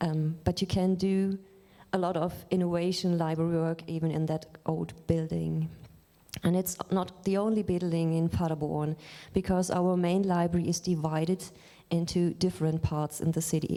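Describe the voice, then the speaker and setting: Speaking with a German accent, a woman uses a fairly low pitch and a dark, mellow tone, her intonation monotone and flat, her loudness very even and her pace moderate. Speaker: librarian. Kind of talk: lecture. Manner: halting.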